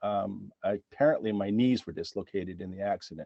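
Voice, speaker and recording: A man with a Canadian accent and fairly low pitch talks at a moderate pace. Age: 60s. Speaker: accident victim. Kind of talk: testimony. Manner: halting, many fillers.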